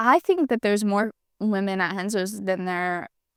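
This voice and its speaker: In an ordinary speaking voice with an American accent, a woman speaks at a medium pitch and a moderate pace, recorded very cleanly against a silent background with a dry, close sound and no echo. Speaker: podcast co-host, jiu-jitsu athlete. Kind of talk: casual chat.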